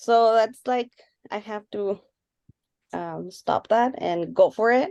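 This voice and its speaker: Speaking at a very slow pace, a woman makes big swings in loudness. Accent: non-native. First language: not English. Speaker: radiography student. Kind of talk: casual discussion. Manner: quiet, low volume.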